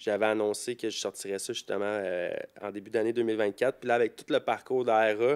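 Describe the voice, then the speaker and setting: A man with a Quebec accent speaks fairly quickly at a fairly low pitch in a flat monotone, his loudness swinging widely, in a dry, close sound with no echo on a very clean recording with a silent background. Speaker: rapper. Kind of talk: casual chat.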